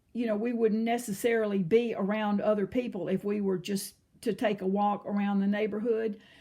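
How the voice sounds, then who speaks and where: A woman speaks at a medium pitch in a somewhat breathy voice. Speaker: video blogger. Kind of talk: casual chat. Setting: at home. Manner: halting.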